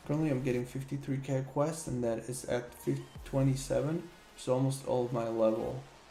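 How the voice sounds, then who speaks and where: With music in the background and audible room echo, a man with a non-native accent and medium pitch talks at a fairly quick pace. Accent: noticeable non-native English. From Slovakia. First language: Slovak. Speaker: gaming streamer. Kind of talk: live gameplay stream chat. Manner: casual, animated.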